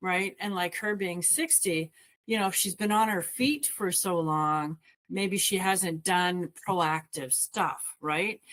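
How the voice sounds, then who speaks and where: Very slow speech from a woman at a medium pitch, with ordinary pitch variation. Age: 60s. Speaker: wellness coach. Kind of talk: casual discussion.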